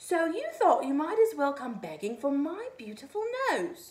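A woman's put-on character voice, high in pitch, with very wide pitch swings at a moderate pace. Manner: roaring with rage, indignant.

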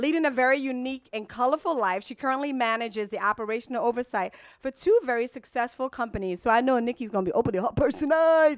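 A fast pace with few pauses and ordinary pitch variation. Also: woman, fairly high pitch for a woman.

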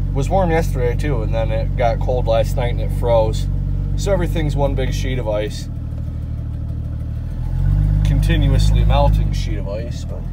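Loud background noise fills the clip as the speaker moves at a moderate pace with long, frequent pauses. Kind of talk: casual vlog chat. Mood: relaxed, casual. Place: car. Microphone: phone near.

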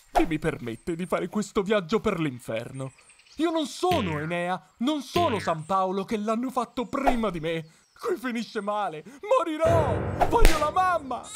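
A man puts on a whiny character voice, pitched high and swinging very widely in pitch at a moderate pace. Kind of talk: comic overacting. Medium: comedy sketch. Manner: whining, fearful.

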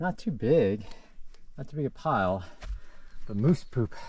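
Very wide pitch swings mark this man's dark, mellow tone, heard in a dry sound with no echo. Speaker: thru-hiker vlogger. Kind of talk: casual vlog chat. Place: forest. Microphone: phone near.

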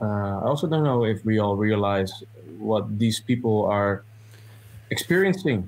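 A man with a Dutch accent speaks at a moderate pace and fairly low pitch, keeping his loudness very even and leaving long, frequent pauses. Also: ordinary pitch variation. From Netherlands, Amsterdam. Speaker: movie reviewer, journalist. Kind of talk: casual review chat. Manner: halting, many fillers.

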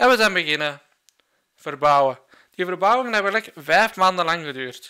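A man with a Flemish accent speaks at a moderate pace in a high pitch, his tone bright and sharp. His pitch varies in an ordinary way against a quiet background. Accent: Flemish Dutch. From Flanders, Belgium. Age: 20s. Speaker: gaming YouTuber; youtuber. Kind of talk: vlog monologue. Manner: halting. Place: home room. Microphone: studio mic.

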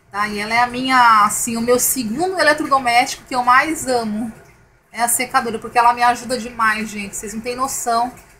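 Over noticeable background noise, a woman with a high pitch talks at a fairly quick pace with fairly even intonation. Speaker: YouTuber, home product reviewer. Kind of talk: product review tutorial. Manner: casual, chatty with fillers.

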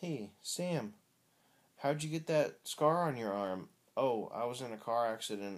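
A man speaks with very wide pitch swings. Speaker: vlogger. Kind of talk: casual vlog chat. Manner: drowsy, slow, low voice in bed. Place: home room. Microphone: phone near.

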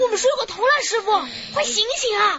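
Over light background noise, a woman uses a put-on character voice at an extremely high pitch and a fairly quick pace. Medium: audio drama. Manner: chatty, lively.

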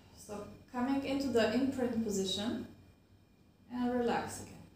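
A woman with a high pitch talks at a fairly slow pace, with light background noise and audible room echo. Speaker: fitness instructor. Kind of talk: tutorial. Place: home room.

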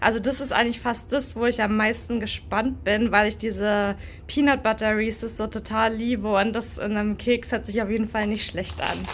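A woman talks at a moderate pace with hardly any pauses, her voice showing vocal fry and a flat, monotone intonation. Light background noise is present. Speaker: snack taste-test vlogger. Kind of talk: casual vlog chat. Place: home room. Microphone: phone near.

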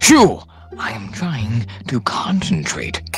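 A man at medium pitch does a cartoonish character voice with very wide pitch swings at a very slow pace. Faint music plays in the background. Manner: formal, prim.

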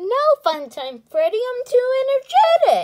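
A woman's put-on character voice, extremely high-pitched, with very wide pitch swings. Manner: low-energy, sleepy.

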